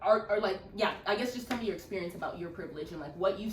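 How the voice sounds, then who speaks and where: A woman at a medium pitch over noticeable background noise. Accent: American. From Texas, US. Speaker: podcast host. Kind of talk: casual chat.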